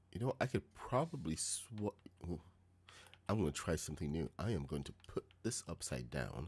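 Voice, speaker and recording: A soft-spoken man at a moderate pace, very deep and low in pitch, with vocal fry, very wide pitch swings and long, frequent pauses. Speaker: gaming streamer. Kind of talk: live gameplay stream chat. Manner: quiet, soft-spoken.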